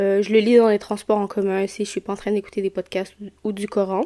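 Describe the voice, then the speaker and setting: A woman's medium-pitched voice, dark and mellow in tone, with flat, monotone intonation at a moderate pace. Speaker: podcast host. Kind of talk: casual chat. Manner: hesitant, many fillers.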